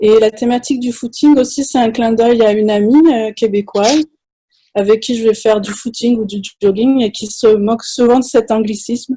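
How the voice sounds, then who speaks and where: A woman's fairly high, somewhat breathy voice with a dark, mellow tone. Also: fairly even intonation, moderate pace. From France. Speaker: anthropology professor. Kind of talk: panel discussion.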